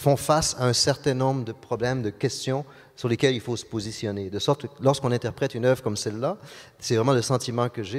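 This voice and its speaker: A man speaks at a fairly quick pace in a Quebec accent. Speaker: orchestra conductor. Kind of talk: interview. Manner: halting, many repetitions and fillers.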